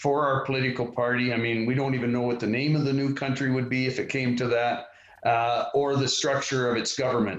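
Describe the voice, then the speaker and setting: The speaker has a Western Canadian accent. Noticeable background noise runs underneath. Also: man. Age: 60s. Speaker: party leader, politician. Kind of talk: interview.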